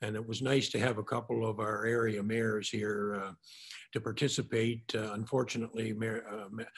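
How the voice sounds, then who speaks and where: This man speaks with a Maritime Canadian accent. His pitch is medium and his pace fairly quick. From New Brunswick, Carleton County. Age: 70s. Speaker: mayor. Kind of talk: panel remarks. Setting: virtual panel event.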